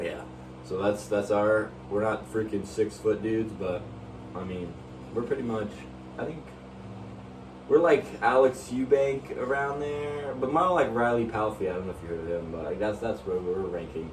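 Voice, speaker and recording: With audible room echo and noticeable background noise, a man speaks at a moderate pace, his pitch swinging very widely between long, frequent pauses. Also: fairly low pitch for a man. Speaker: fitness YouTuber. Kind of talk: casual chat. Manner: halting.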